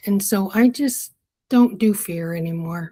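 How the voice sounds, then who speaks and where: A somewhat breathy woman's voice in a very clean recording with a silent background. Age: 70s. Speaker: spiritual wisdom guest, retired mother and grandmother. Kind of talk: interview conversation.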